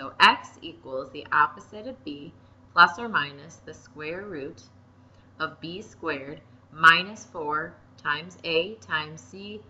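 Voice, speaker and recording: A woman speaks in a normal speaking voice, pitched fairly low. Her pace is fairly slow and her pitch varies in an ordinary way. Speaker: math teacher. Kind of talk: tutorial.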